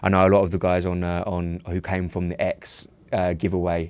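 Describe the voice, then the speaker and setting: A man's very deep, low voice at a moderate pace against a quiet background. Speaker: live trading show host. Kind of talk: live stream chat. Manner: casual, hesitant with many fillers.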